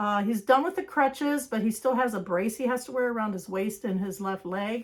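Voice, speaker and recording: A woman speaks in a fairly high voice, her intonation lively. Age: 60s. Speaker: craft vlogger. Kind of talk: religious encouragement; casual vlog chat. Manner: hesitant, filler-heavy.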